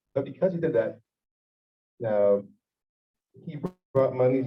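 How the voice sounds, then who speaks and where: Somewhat breathy and fairly quick, a man speaks with an American accent. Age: 50s. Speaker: rabbi. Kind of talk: farbrengen storytelling talk. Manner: animated.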